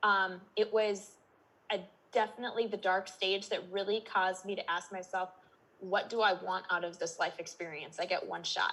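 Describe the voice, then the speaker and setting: A woman's bright, sharp tone at medium pitch, with a Minnesotan accent, a moderate pace and a monotone, flat intonation. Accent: Minnesota. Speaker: life and business coach. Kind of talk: podcast interview. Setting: holding a baby trying to sleep.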